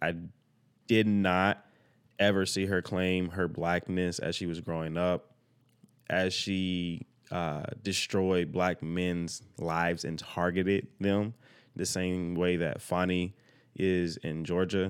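A man speaks in a very deep, low voice at a very slow pace. His intonation is monotone and flat, on a very clean recording with a silent background. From Arkansas, US South. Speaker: podcast host, film production worker. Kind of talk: solo livestream monologue. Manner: casual, conversational.

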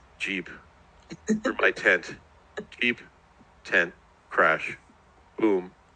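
A man's mumbling, put-on character voice at a very slow pace, broken by long, frequent pauses. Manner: incoherent mumbling.

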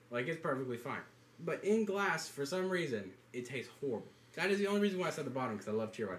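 Speaking very fast with a Southern US accent, a man uses a fairly high pitch and very wide pitch swings. Noticeable background noise sits behind him. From US South, North Carolina. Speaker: college student podcaster. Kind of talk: casual chat. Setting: dorm room.

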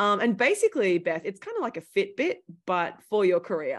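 Against a quiet background, a woman with an Australian accent talks at a moderate pace in a medium pitch, her intonation lively. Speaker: startup founder, former journalist. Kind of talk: interview conversation.

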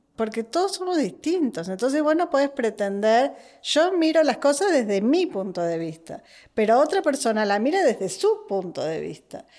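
On a very clean recording with a silent background, a woman with a high pitch and a dark, mellow tone speaks at a moderate pace with very wide pitch swings. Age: 40s. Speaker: podcast guest, host's sister. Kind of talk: casual chat. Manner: animated.

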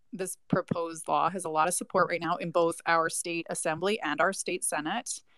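Recorded with a dry, close sound and no echo, a woman uses an ordinary speaking voice, fairly low in pitch with fairly even intonation. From New York. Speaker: attorney. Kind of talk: panel discussion. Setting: online audio room.

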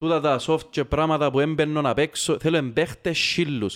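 A man with a Cypriot accent, fairly high in pitch, at a moderate pace, on a very clean recording with a silent background. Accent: Cypriot Greek. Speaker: football podcast host. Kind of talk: casual chat.

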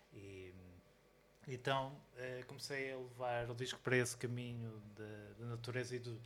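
A man's medium-pitched, monotone, flat voice at a moderate pace, with long, frequent pauses and audible room echo. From Portugal, Porto area. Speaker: DJ, producer and musician. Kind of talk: live interview. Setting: record store with live audience. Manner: halting, many repetitions.

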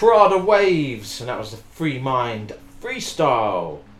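Music plays in the background as a man speaks. He has a British accent and a very slow pace. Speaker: radio host. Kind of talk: radio dj patter. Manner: laid-back banter; casual, upbeat, chatty.

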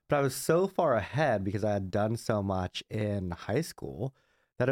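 With an American accent and an ordinary speaking voice, a man talks at a moderate pace with lively intonation, recorded dry and close with no echo in a quiet background. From Southern California, Glendale (LA County). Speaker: marketing executive. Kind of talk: interview.

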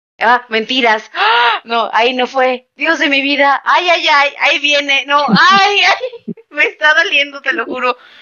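A woman with a high pitch and lively intonation speaks at a fairly slow pace, her loudness very even and hardly any pauses between words. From Mexico City. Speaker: podcast host. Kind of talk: casual chat. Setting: late-night recording.

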